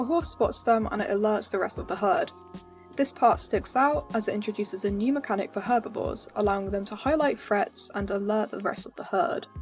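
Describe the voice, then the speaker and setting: Over music in the background, the speaker talks at a fairly quick pace with ordinary pitch variation. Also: woman, fairly high pitch for a woman. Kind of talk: video game analysis commentary.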